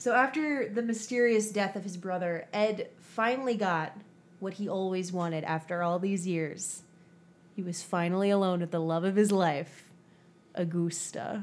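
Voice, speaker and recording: This woman has an unremarkable speaking voice, pitched at medium height, with an American accent. Her pace is moderate, and her pitch varies in an ordinary way. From US Midwest. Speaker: true crime podcast host. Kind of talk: casual chat with storytelling narration.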